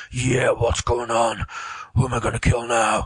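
A man's gruff, put-on character voice at a medium pitch. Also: moderate pace.

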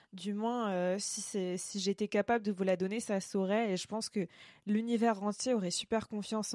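A woman speaks at a medium pitch and moderate pace in a dark, mellow tone with fairly even intonation, recorded very cleanly against a silent background with a dry, close sound and no echo. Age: 20s. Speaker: podcast host. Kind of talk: solo podcast monologue. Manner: hesitant with frequent fillers.

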